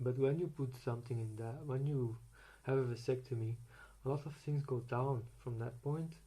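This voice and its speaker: At a moderate pace, the speech comes out somewhat breathy with fairly even intonation. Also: man, medium pitch for a man. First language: Dutch. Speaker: vlogger sharing personal medical experience. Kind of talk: unprepared personal rant. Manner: halting, with many repetitions and fillers.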